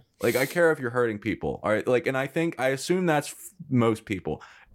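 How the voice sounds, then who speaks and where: A man with a plain, everyday voice talks at a fairly quick pace. His intonation is lively. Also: hardly any pauses. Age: 20s. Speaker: podcast host and filmmaker. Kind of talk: casual interview chat.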